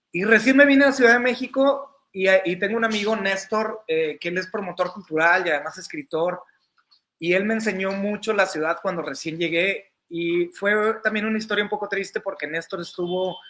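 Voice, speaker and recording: A man's high-pitched, raised and projected voice at a moderate pace, with ordinary pitch variation, on a very clean recording with a silent background. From northern Mexico, Coahuila (Monclova/Saltillo). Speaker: entertainment journalist. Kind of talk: casual interview conversation.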